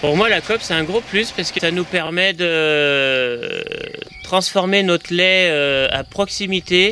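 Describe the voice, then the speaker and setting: Very slow pace and ordinary pitch variation amid noticeable background noise. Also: man, high pitch for a man. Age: 30s. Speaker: dairy farmer. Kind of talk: interview testimony. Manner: hesitant, many fillers.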